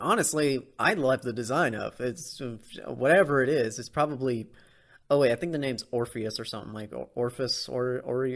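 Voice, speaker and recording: A man at a medium pitch and moderate pace, with ordinary pitch variation, on a very clean recording with a silent background. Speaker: anime podcaster. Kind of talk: casual podcast review. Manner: halting, stumbling; animated.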